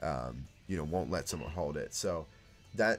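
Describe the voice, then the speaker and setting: With an American accent, a man talks in vocal fry with lively intonation. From United States. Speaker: speedrunner and streamer. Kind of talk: casual chat. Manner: halting, many fillers and restarts.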